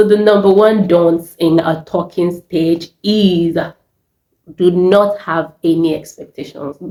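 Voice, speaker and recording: Her voice is fairly low in pitch, with a dark, mellow tone. The woman speaks at a very slow pace with fairly even intonation. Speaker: YouTuber. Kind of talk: casual vlog monologue.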